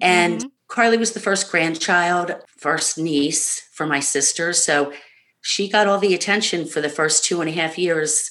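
A woman's fairly low voice with a bright, sharp tone, fairly slow pace and ordinary pitch variation. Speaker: bereaved mother. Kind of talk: casual interview about grief. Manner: warm, uplifting.

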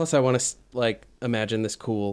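A man's fairly low voice at a fairly slow pace. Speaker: player in a tabletop role-playing game. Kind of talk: casual, joking role-play banter. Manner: animated, jokey.

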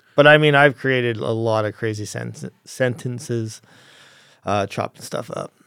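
On a very clean recording with a silent background and a dry, close sound with no echo, a man with a Canadian accent speaks in a normal speaking voice at a medium pitch and moderate pace, with ordinary pitch variation and big swings in loudness. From Calgary, Alberta, Canada. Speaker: cameraman and video editor. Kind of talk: casual interview chat.

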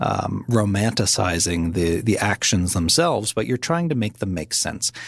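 A normal speaking voice with a Canadian accent at a moderate pace. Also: man. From Nova Scotia, Canada. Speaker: mental health advocate and author. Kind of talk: interview.

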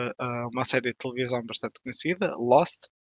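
Over a quiet background, a man's bright, sharp tone comes through dry and close with no echo. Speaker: games blogger and critic. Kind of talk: casual panel discussion.

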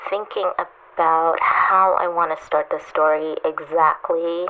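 Very slow female speech against noticeable background noise. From Trinidad. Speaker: children's author. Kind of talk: voice memo.

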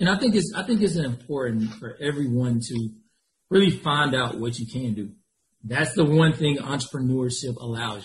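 A somewhat breathy man's voice of medium pitch, lively in intonation, at a moderate pace, with big swings in loudness. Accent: American. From Georgia, US (small town near Atlanta). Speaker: staffing agency founder. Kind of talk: interview.

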